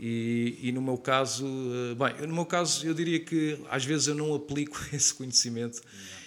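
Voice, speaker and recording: On a very clean recording with a silent background, a man with an ordinary speaking voice talks at a moderate pace, his fairly high pitch held in fairly even intonation. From Portugal, Lisbon area (Oeiras/Carcavelos). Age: 30s. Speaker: calisthenics trainer. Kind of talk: podcast interview.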